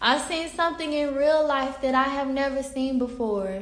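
A woman speaks with a Southern US accent amid audible room echo. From US South, Pine Bluff, Arkansas. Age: 20s. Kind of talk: casual faith testimony monologue. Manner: halting, many fillers and restarts.

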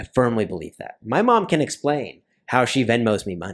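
In a very clean recording with a silent background, a man with an unremarkable speaking voice talks at medium pitch and a moderate pace. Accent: General American. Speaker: traveler and aviation sales professional. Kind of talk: casual chat.

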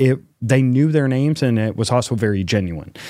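A man talks at a moderate pace in a dark, mellow tone with ordinary pitch variation, on a very clean recording with a silent background. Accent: Midwestern American. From northern Illinois (Rockford). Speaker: city mayor. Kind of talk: interview.

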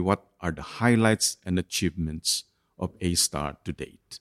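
In a normal speaking voice, a man goes at a fairly slow pace with ordinary pitch variation, and the sound is dry and close with no echo. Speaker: podcast host. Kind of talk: interview, scripted intro.

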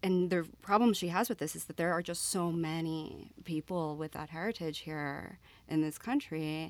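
A woman with an American accent talks at a moderate pace in an ordinary speaking voice, her pitch fairly low with ordinary variation. The recording is very clean, with a silent background. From Florida (Miami). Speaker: English professor. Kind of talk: casual panel discussion.

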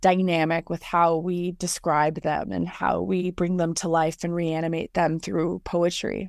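This is a woman with a normal speaking voice and an American accent, pitched fairly low and speaking at a fairly slow pace. The recording is very clean, with a silent background. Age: 20s. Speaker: poet. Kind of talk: casual chat.

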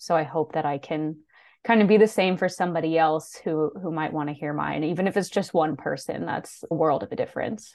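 A woman with a normal speaking voice talks fairly quickly at a fairly low pitch, her pitch varying in an ordinary way. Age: 20s. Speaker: thyroid cancer survivor and advocate. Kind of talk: interview, personal story.

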